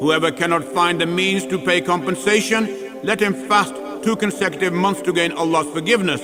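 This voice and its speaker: Over music in the background, the speaker keeps a very even loudness and a fairly quick pace, with ordinary pitch variation. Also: man, high pitch for a man. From Pakistan-born, British. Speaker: actor. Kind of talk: religious scripture reading.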